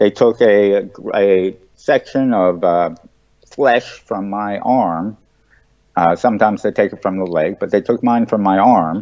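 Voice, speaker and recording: The speech unfolds at a very slow pace with ordinary pitch variation. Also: man. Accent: American. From United States. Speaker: presidential candidate. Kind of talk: interview. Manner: halting, many fillers.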